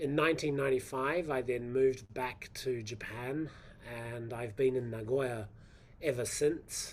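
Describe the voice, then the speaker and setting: In a New Zealand accent, a man talks at a fairly slow pace in a medium pitch. His intonation is fairly even, and the room echo is audible. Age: 50s. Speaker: professor. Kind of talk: lecture. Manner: hesitant, with fillers.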